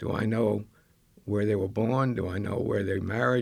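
A man with an American accent speaks in a normal speaking voice at a fairly slow pace. His pitch is fairly low, with ordinary variation. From Maine, US. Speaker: genealogy group leader, retired army officer. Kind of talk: interview.

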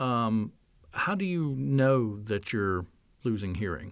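A man talks at a moderate pace in a normal speaking voice. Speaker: podcast host. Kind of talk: interview for a government podcast. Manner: friendly, conversational.

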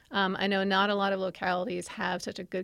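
With an American accent, the voice carries vocal fry in a very clean recording against a silent background. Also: woman. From New York. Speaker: freshwater ecologist. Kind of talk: podcast interview.

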